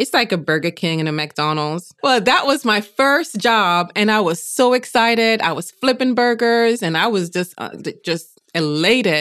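Over a quiet background, a woman speaks at a moderate pace with hardly any pauses, her fairly high pitch making very wide swings. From Jamaica. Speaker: podcast host and life-purpose coach. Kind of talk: interview, personal story.

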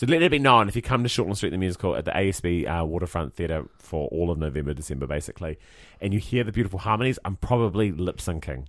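A man's very deep, low voice with vocal fry, a New Zealand accent, lively intonation and a very fast pace. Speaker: podcast co-host and musical theatre performer. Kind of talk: casual chat.

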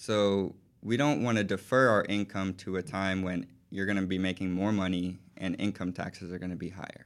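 A man with an American accent speaks in a very deep, low voice. His intonation stays fairly even at a fairly quick pace. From Texas, Houston. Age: 20s. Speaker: financial advisor. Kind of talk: interview.

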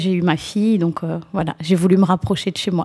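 Somewhat breathy and medium in pitch, a woman speaks at a fairly quick pace with fairly even intonation. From France, raised from age 4 (Mauritian family). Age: 40s. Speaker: nursing home housekeeping manager. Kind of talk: interview.

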